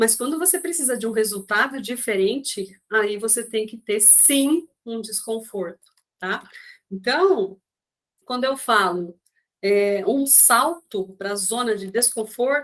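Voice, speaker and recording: Her intonation is lively, and a woman's fairly high pitch carries it. She speaks at a very slow pace. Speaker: coach. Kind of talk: online class.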